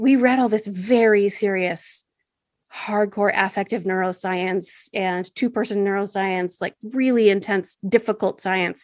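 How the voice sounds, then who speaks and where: Fairly slow pace, medium pitch and fairly even intonation from a woman with an unremarkable speaking voice and an American accent, over a quiet background. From United States. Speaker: sex educator and author. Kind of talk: interview conversation. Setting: remote call.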